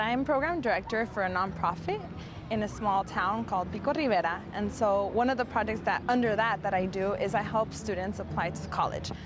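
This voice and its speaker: With music playing in the background, a woman talks at a fairly quick pace in a medium pitch with ordinary pitch variation. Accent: Spanish. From Southern California, Coachella Valley. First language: Spanish. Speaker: nonprofit program director. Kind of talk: personal interview testimony.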